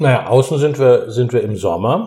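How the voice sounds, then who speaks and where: A man talks at a moderate pace in a dark, mellow tone that is somewhat breathy. The recording is very clean, with a silent background. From southwestern Germany. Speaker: theatre director. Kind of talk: interview while cooking.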